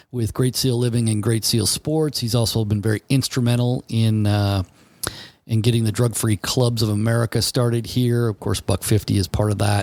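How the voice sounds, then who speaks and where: A man speaks at a moderate pace and medium pitch with fairly even intonation and very even loudness, the sound dry and close with no echo. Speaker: podcast host. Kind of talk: podcast intro. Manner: casual, hesitant.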